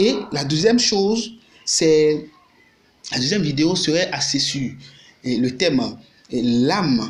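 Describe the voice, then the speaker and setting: Fairly high-pitched man with a Beninese accent and lively intonation, at a very slow pace with long, frequent pauses, amid audible room echo and noticeable background noise. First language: Fon (Gun) (speaking French). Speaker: YouTuber and activist. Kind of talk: video monologue. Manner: halting.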